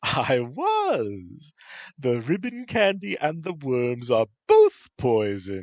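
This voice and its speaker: A man puts on a character voice. He speaks at a medium pitch and a very slow pace. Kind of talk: archaic, grand. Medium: read story. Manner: theatrical, shifting between masculine and feminine tones.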